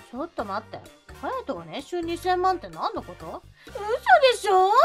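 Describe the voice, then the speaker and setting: With music in the background, a woman speaks at a moderate pace in an extremely high voice. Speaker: voice actor narrator. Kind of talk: dramatized chat reading.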